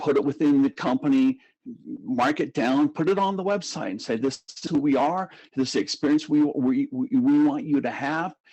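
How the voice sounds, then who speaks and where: With lively intonation, a man speaks at a fairly high pitch in a dark, mellow tone. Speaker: brand consulting firm CEO. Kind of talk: podcast interview. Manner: fast.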